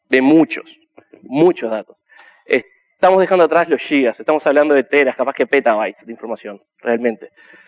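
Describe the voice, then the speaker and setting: The sound is dry and close with no echo as a man with a fairly high pitch talks at a fairly quick pace. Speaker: conference speaker; software developer. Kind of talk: conference talk.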